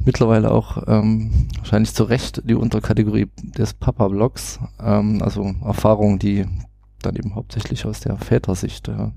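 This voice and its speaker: Music plays in the background as a man speaks with a slight Saxon accent. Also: moderate pace. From Saxony, Germany. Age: 30s. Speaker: IT consultant and parenting blogger. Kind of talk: casual podcast interview. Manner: hesitant, many filler sounds.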